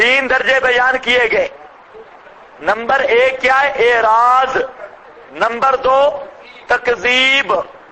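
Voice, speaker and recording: An extremely high-pitched man's voice at a very slow pace, with long, frequent pauses, very even loudness, ordinary pitch variation and noticeable background noise. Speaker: Islamic scholar giving Quran commentary. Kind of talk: religious lecture. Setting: lecture hall with loudspeaker. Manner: animated.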